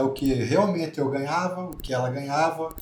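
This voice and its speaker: Over music in the background and audible room echo, a man with a southern Brazilian accent speaks at a moderate pace and a fairly high pitch with ordinary pitch variation. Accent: southern Brazilian, kept. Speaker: church couple guest. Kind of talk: podcast-style conversation.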